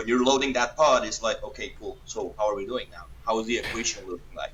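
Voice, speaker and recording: Over noticeable background noise, a man with a Colombian accent talks at a very fast pace. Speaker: paintball player. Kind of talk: podcast interview.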